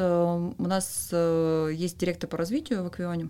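A woman talks at a very slow pace. Her pitch sits at medium. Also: very clean recording, silent background. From Western Siberia, Russia. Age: 30s. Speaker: pharma marketing director. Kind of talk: podcast interview.

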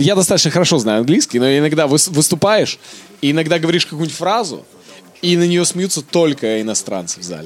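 Noticeable background noise sits behind a man speaking at a fairly quick pace. His voice is fairly high, with lively intonation. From Kazakhstan, later Canada. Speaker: stand-up comedian. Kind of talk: casual chat. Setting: studio.

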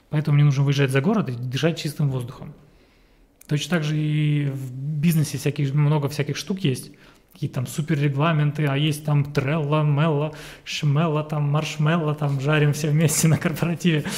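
In a very clean recording with a silent background, a man with a fairly high, somewhat breathy voice speaks at a moderate pace in a monotone, flat intonation. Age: 30s. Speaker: business consultant. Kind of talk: casual chat.

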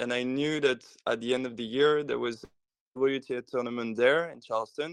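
Moderate-paced speech from a man, fairly even in intonation. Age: 20s. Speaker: tennis social media and marketing professional. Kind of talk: podcast interview. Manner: hesitant, many fillers.

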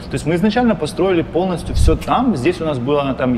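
A man speaks over noticeable background noise. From Ukraine. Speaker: company co-founder. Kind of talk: interview.

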